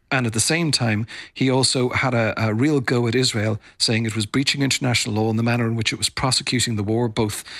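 A man with an Irish accent talks at a fairly quick pace with fairly even intonation. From Ireland. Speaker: foreign correspondent. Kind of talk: interview. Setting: remote from Tel Aviv, pre-recorded.

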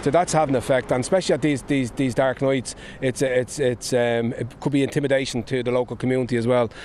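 A man with a Dublin accent talks at a very fast pace at medium pitch, with fairly even intonation, hardly any pauses, and noticeable background noise. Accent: Dublin Irish. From Ireland, Dublin (Clondalkin). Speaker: politician, former addiction counsellor. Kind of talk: on-location interview. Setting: outdoors. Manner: halting, repetitive.

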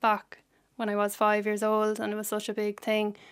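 A woman talks at a moderate pace in an Irish Midlands accent. The recording is very clean, with a silent background. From Ireland, County Laois. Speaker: PhD researcher, childhood cancer survivor. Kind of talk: radio interview. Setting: studio.

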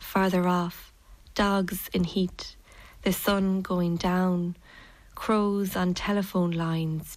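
A woman with a Kerry accent speaks at a very slow pace with monotone, flat intonation and a medium pitch. The recording is very clean, with a silent background. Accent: Irish, Kerry. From Ireland, Tralee, County Kerry. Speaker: poet. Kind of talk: poetry reading.

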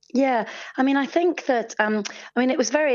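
Talking fairly quickly, she has a normal speaking voice, and this woman's pitch varies in an ordinary way. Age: 50s. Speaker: theatre artistic director. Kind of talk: radio interview.

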